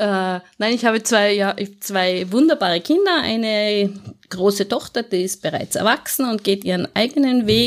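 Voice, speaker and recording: A woman speaks at a moderate pace and medium pitch with lively intonation, on a very clean recording with a silent background. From Austria, Tyrol (Innsbruck). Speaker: office manager and proofreader. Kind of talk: interview.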